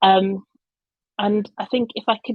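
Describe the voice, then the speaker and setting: This woman speaks with a slight Birmingham accent and ordinary pitch variation. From England, Birmingham. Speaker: communications professional. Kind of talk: conference talk. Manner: hesitant, many fillers.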